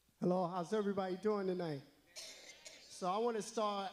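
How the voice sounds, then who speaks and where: Over music in the background, a man with an American accent speaks in a fairly even intonation. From North Carolina, Rocky Mount. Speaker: city council candidate. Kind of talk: candidate forum introduction.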